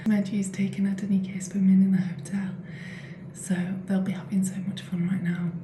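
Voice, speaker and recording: Over noticeable background noise and audible room echo, a woman at medium pitch speaks at a moderate pace with monotone, flat intonation. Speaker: vlogger. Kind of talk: casual vlog. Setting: hotel room.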